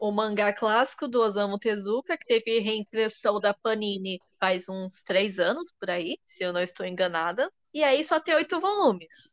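With an unremarkable speaking voice, a woman speaks at a fairly high pitch and a moderate pace, her intonation lively and her loudness swinging widely, in a dry, close sound with no echo. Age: 20s. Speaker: podcast host. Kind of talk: casual chat.

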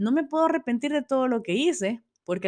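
In a very clean recording with a silent background, a woman speaks at a moderate pace with lively intonation. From El Salvador. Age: 40s. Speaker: podcast host. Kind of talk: solo podcast monologue. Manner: hesitant, many fillers.

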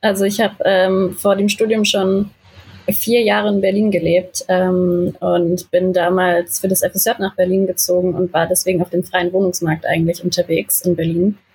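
A woman speaks at a medium pitch and a moderate pace. Her intonation is flat and monotone, and her loudness stays very even. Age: 20s. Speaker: film university student, podcast co-host. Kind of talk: casual chat.

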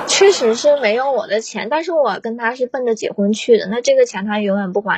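With noticeable noise in the background, a woman's fairly high voice moves along at a fairly quick clip, its pitch varying in an ordinary way. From Northeast China. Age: 20s. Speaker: caller, primary school teacher. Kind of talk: emotional advice call-in.

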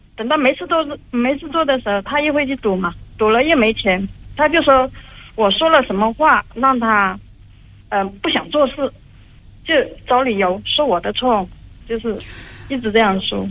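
A woman with a high voice speaks at a moderate pace, leaving long, frequent pauses, her pitch swinging very widely. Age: 30s. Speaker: caller seeking relationship advice. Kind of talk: call-in advice conversation. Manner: halting.

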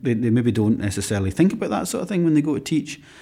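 With a Scottish accent, a man speaks at a medium pitch using lively intonation, captured on a very clean recording with a silent background. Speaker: classical guitarist and conservatoire teacher. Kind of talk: interview. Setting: conservatoire room.

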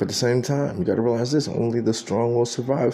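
In an American accent, a man talks at a fairly quick pace with an ordinary speaking voice. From Texas, San Antonio. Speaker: video blogger. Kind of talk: political commentary monologue.

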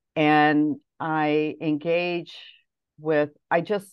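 With a Midwestern American accent, this woman speaks at a very deep, low pitch. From US Midwest, Detroit area. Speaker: language teacher and poet. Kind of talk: interview.

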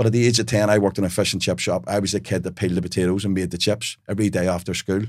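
Speaking in a Belfast accent, a man talks very fast at a fairly low pitch with hardly any pauses and fairly even intonation. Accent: Belfast Northern Irish. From Northern Ireland, Belfast. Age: 40s. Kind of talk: interview conversation.

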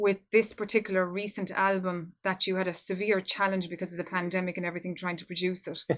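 A woman with an Irish accent, medium-pitched, talking very fast with hardly any pauses in a flat, monotone delivery. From Ireland. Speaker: podcast host. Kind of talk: interview.

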